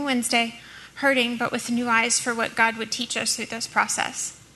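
With an American accent, this speaker moves along fairly quickly while noticeable background noise runs underneath. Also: woman. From US South, New Orleans. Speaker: church member sharing testimony. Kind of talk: testimony.

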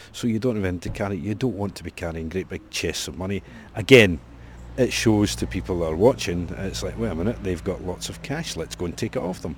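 A man with a Scottish accent talks at a fairly quick pace in a very deep, low voice with vocal fry and very wide pitch swings. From Scotland. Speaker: historical reenactor. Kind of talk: interview.

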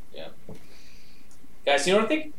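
Noticeable noise fills the background. A man talks over it. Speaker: podcast host. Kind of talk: casual comedic chat. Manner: joking, animated.

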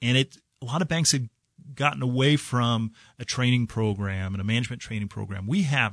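In a quiet background with a dry, close sound and no echo, a man with a Midwestern US accent talks fairly quickly with ordinary pitch variation. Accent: US Midwest. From southwest Kansas, US. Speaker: bank executive. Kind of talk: radio interview. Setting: radio studio.

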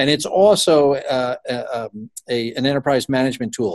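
The man has an unremarkable speaking voice at medium pitch, with ordinary pitch variation and a moderate pace. The sound is dry and close with no echo, over a quiet background. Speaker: company CEO. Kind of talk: business interview.

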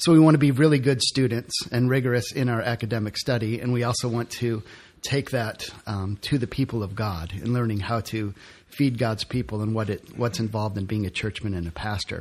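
With an American accent, a man talks at a fairly quick pace in a normal speaking voice. His pitch is medium, with ordinary variation. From Detroit, US Midwest. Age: 40s. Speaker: seminary student. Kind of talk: casual interview.

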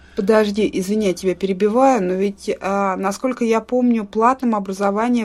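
With hardly any pauses, a woman talks in a normal speaking voice at medium pitch, moderate pace and fairly even intonation. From Russia. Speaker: podcast co-host. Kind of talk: casual chat.

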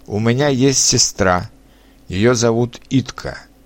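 A man with a Czech accent talks at a very slow pace, his medium pitch showing ordinary variation. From Czech Republic. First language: Czech (speaking Russian). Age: 30s. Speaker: language learner. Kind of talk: reading aloud.

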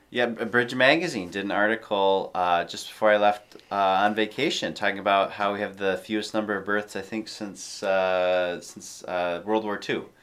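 An unremarkable speaking voice, this man talks at a fairly low pitch and a moderate pace, with hardly any pauses. His intonation is fairly even, though his loudness swings widely. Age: 30s. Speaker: podcast co-host. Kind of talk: casual interview.

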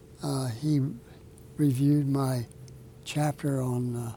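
With an American accent, a man speaks at a medium pitch in a monotone, flat delivery. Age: 80s+. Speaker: author and retired military officer. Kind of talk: interview. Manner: halting.

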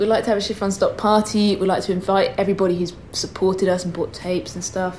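Against noticeable background noise, a woman talks at a very fast pace and medium pitch in a monotone, flat intonation with hardly any pauses. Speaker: podcast host. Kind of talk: casual chat.

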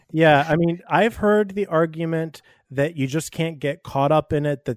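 A man with a plain, everyday voice speaks at a fairly slow pace with ordinary pitch variation, the sound dry and close with no echo. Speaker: movie podcast co-host. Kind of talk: casual chat. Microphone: muffled at times.

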